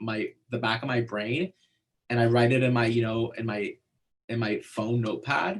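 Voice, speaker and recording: At a moderate pace and medium pitch, a man talks in a somewhat breathy voice. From born in Iran, fled as a child. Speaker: neuroscientist. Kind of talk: interview. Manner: halting, many fillers.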